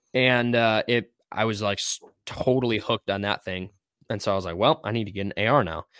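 A man's normal speaking voice, fairly low in pitch with ordinary pitch variation, at a fairly quick pace, in a dry, close sound with no echo. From Wisconsin, US. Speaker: co-host and firearms instructor. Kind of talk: casual chat. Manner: many filler words.

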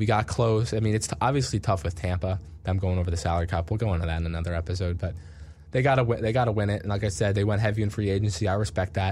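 Speaking at a very fast pace with an American accent, a man has a fairly low pitch, ordinary pitch variation and a somewhat breathy sound. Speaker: sports radio podcast host. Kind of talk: casual sports chat.

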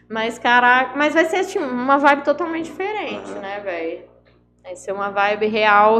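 A woman's high-pitched voice at a moderate pace, with very wide pitch swings and big swings in loudness, in audible room echo. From Minas Gerais, Zona da Mata (Ubá). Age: 20s. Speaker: singer and rapper. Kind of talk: casual chat.

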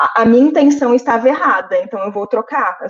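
A woman with an unremarkable speaking voice, ordinary pitch variation and a fairly quick pace. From Brazil, Santos. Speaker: podcast co-host, film critic. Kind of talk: casual chat.

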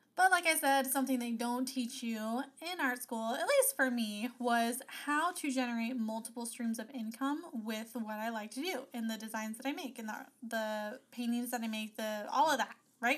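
With an animated tone and a high pitch, a woman speaks at a moderate pace with hardly any pauses and ordinary pitch variation. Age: 30s. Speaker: podcast host and business coach for creatives. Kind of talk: casual solo podcast talk.

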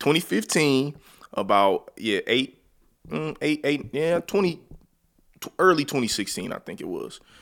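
Lively in intonation and with big swings in loudness, a man with vocal fry speaks at a fairly slow pace with long, frequent pauses on a very clean recording with a silent background. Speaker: podcast host. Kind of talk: casual chat podcast conversation.

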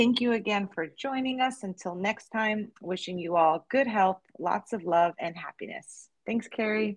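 A woman with an American accent uses an ordinary speaking voice, fairly high in pitch, with lively intonation, at a fairly slow pace with hardly any pauses, in a dry, close sound with no echo. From New Jersey. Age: 40s. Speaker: podcast host and yoga teacher. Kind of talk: podcast interview.

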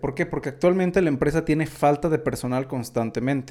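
A man speaks at a fairly quick pace with a fairly high pitch. His tone is dark and mellow, and his intonation stays fairly even. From Mexico. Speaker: business podcast host. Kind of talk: solo podcast commentary. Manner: casual, filler-heavy.

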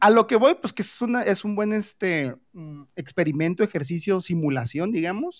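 A normal speaking voice from a man, moderate in pace, with ordinary pitch variation. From Mexico. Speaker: podcast host. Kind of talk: casual chat.

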